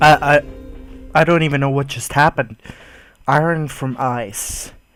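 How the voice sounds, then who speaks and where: The man talks at a moderate pace, his pitch fairly high, while music plays behind him. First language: not English. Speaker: gamer. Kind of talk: let's play commentary. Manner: animated.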